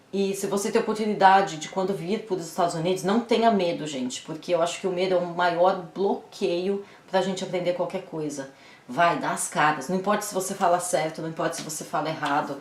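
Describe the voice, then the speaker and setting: Amid noticeable background noise and audible room echo, a woman with a strong Brazilian accent talks at a fairly quick pace, at medium pitch with ordinary pitch variation. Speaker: YouTuber. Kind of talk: casual vlog advice.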